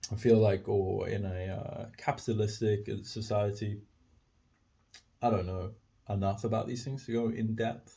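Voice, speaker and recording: A man talks in a fairly low, dark, mellow voice that is somewhat breathy. His intonation stays flat and monotone, broken by long, frequent pauses. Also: moderate pace. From South Africa, Cape Town. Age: 20s. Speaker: podcaster. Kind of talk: casual monologue. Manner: halting, many fillers.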